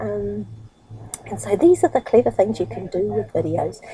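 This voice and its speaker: A woman speaks with a New Zealand accent. Noticeable background noise is present. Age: 60s. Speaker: internet marketer and vlogger. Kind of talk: casual vlog monologue. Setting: sitting on her bed at home. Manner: fast, rushing.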